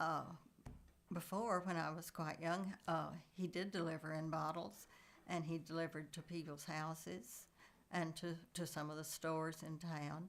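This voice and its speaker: A woman speaks with a Texan accent at a moderate pace. Her pitch is fairly low and her intonation fairly even. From Texas, Coleman area. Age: 80s+. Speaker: family elder sharing memories. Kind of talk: oral history interview. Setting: at a relative's house. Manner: halting, many fillers.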